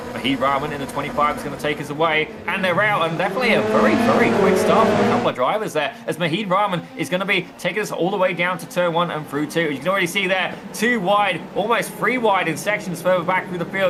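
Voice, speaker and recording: The speaker goes at a very fast pace with hardly any pauses. Noticeable background noise is present. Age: 30s. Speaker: sim racing commentator. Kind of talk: live commentary. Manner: animated.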